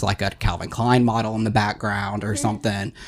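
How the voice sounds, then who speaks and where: A man's fairly low, flat, monotone voice at a very fast pace over noticeable background noise. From Louisiana. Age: 20s. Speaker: bartender. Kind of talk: casual chat.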